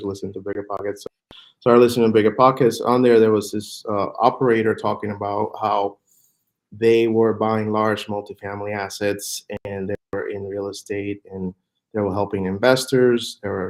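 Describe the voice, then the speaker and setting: Over a very clean recording with a silent background, a man speaks in a Spanish accent, fairly low in pitch and with a monotone, flat intonation. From Puerto Rico. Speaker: real estate fund manager. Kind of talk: podcast interview. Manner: halting, many fillers and repeats.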